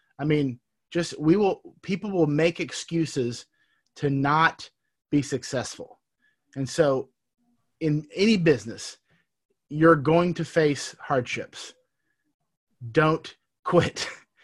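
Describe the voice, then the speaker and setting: The recording is very clean with a silent background as a man talks at a very slow pace with long, frequent pauses. His pitch is fairly high with ordinary variation. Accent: American. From Texas. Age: 30s. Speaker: entrepreneur. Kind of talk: casual interview.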